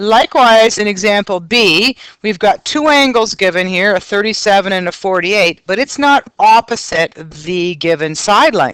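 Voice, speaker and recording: In a normal speaking voice, a woman at a medium pitch talks at a moderate pace with lively intonation and hardly any pauses, the sound dry and close with no echo. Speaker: math teacher. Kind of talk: recorded lesson.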